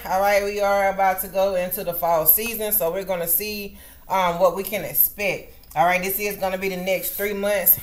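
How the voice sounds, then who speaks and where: A woman talks at a moderate pace in a monotone, flat intonation. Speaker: tarot reader. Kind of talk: casual vlog chat. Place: home room. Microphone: webcam.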